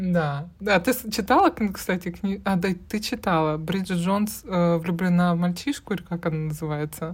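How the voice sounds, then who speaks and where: In a very clean recording with a silent background, a woman with a somewhat breathy, fairly low voice speaks with hardly any pauses. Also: ordinary pitch variation, moderate pace. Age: 30s. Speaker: podcast co-host. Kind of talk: casual chat.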